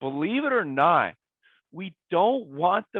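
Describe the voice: A man's raspy voice at a fairly slow pace, lively intonation, and a dry, close sound with no echo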